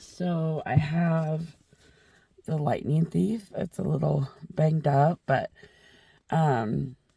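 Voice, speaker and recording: A somewhat breathy voice with a dark, mellow tone, very slow pace and long, frequent pauses. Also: woman, very deep, low pitch for a woman, ordinary pitch variation. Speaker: book vlogger. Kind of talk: casual vlog talk. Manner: animated.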